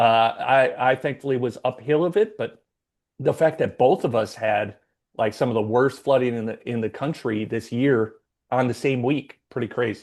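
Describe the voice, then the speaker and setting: Over a quiet background, a man speaks in an ordinary speaking voice at a medium pitch with ordinary pitch variation. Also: moderate pace. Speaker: podcast host. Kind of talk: casual chat.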